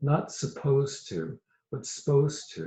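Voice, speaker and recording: The speaker is a man whose voice is somewhat breathy. He speaks with an American accent. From US South, Virginia. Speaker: poet. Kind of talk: poetry reading.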